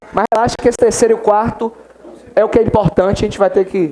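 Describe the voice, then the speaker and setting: Against noticeable background noise, a man with a high pitch talks at a very fast pace. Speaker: law exam-prep teacher. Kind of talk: classroom lecture.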